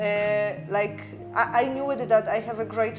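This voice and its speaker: There is noticeable background noise and audible room echo as a woman with a Polish accent speaks at a moderate pace in a medium pitch. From Poland. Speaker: charity worker. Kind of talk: casual interview.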